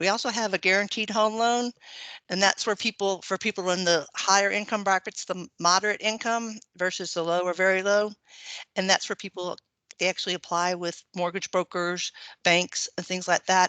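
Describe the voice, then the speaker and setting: Dry and close with no echo, a woman's medium-pitched voice carries a bright, sharp tone, fairly even intonation and an American accent over a quiet background. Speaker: government loan officer. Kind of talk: webinar presentation. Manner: fast.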